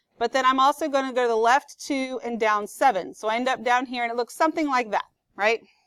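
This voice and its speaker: With a dry, close sound and no echo, a woman speaks at a high pitch and a fairly quick pace with ordinary pitch variation. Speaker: math teacher. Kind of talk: classroom lecture. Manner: fast; conversational.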